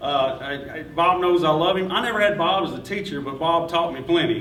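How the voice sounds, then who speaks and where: A man with a Kentucky accent speaks at a moderate pace and fairly high pitch, with ordinary pitch variation. The recording carries audible room echo and noticeable background noise. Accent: Kentucky Southern. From Todd County, Kentucky. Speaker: journalist, award winner. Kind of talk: acceptance speech. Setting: breakfast event with audience. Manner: halting.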